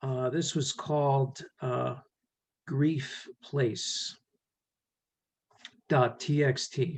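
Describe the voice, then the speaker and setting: A man with an American accent talks very slowly in a fairly high, somewhat breathy voice. His intonation is monotone and flat, broken by long, frequent pauses. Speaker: poet. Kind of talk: poetry reading. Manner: halting, many fillers.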